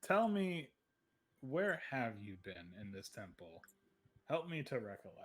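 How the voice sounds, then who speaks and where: In a put-on character voice, a man at medium pitch moves at a fairly slow pace with long, frequent pauses and very wide pitch swings. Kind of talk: formal, old-fashioned. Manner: archaic, ominous, scheming.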